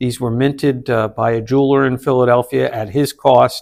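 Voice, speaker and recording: Here is a man with a plain, everyday voice. He speaks at a fairly quick pace with fairly even intonation. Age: 60s. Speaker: 9/11 survivor and public speaker. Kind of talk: casual chat.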